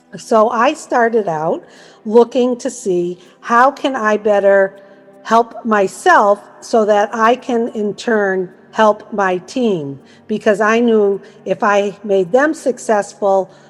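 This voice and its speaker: A woman with an American accent speaks very slowly at a fairly high pitch, with ordinary pitch variation. Noticeable background noise runs under her voice. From US Northeast, Massachusetts. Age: 60s. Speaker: network marketing promoter. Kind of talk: testimony. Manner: casual, conversational.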